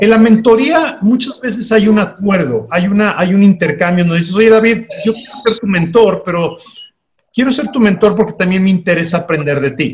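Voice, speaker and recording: At a moderate pace, a man with a high pitch speaks with lively intonation. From Panama, then Mexico from secondary school. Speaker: life coach. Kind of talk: interview.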